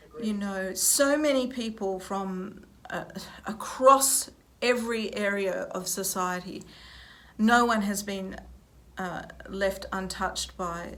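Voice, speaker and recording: Very slow delivery with long, frequent pauses, big swings in loudness and ordinary pitch variation. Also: woman, medium pitch for a woman. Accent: Australian. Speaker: opera singer, music professor. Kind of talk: interview answer. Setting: recorded at a university.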